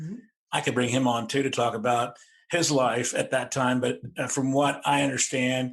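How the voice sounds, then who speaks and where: A man's unremarkable speaking voice at medium pitch, moderate pace, and fairly even intonation, against a quiet background. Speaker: podcast host. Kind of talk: interview questions.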